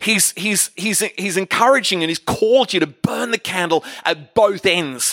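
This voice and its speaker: Over music in the background, a man with a high pitch uses a raised, projected voice and an animated tone at a fairly slow pace, with ordinary pitch variation and a dry, close sound with no echo. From Australia. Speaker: guest preacher. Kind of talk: sermon, preacher in full flow. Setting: church stage with audience. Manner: rambling, humorous.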